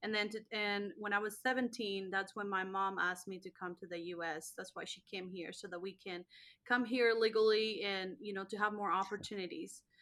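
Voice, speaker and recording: A woman speaks at a fairly quick pace with a slight Spanish accent. Her tone is bright and sharp. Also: medium pitch for a woman. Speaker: network marketing entrepreneur. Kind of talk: interview testimony. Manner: animated.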